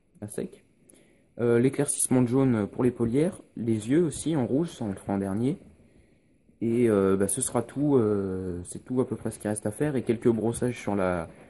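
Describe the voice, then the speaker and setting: Here a man speaks at medium pitch in a dark, mellow tone. His pace is moderate and his pitch varies an ordinary amount. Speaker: miniature painting youtuber. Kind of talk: tutorial. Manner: hesitant, many filler sounds.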